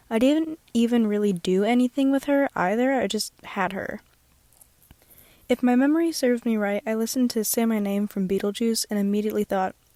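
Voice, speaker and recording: A woman talks at a fairly quick pace and a fairly high pitch in a dark, mellow tone. The sound is dry and close, with no echo. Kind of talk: casual speedpaint commentary. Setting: closet, earbud microphone. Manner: monotone, self-conscious.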